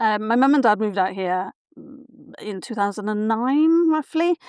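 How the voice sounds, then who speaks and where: Recorded very cleanly over a silent background with dry, close, echo-free sound, a woman with a Welsh accent speaks at fairly high pitch. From South Wales, Barry. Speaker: writer and writing mentor. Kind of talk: interview conversation.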